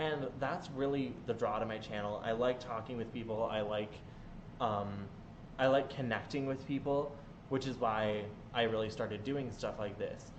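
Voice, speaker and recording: In a room with audible echo, a man of medium pitch speaks at a moderate pace. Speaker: gaming streamer. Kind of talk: live stream Q&A chat. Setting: home live stream. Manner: loud; animated.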